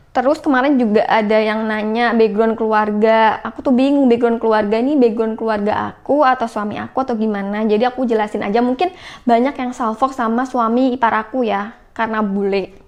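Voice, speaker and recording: A woman with a fairly high pitch speaks at a fairly quick pace with fairly even intonation and hardly any pauses. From Central Java, Indonesia (Pati). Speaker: vlogger. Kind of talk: casual Q&A vlog.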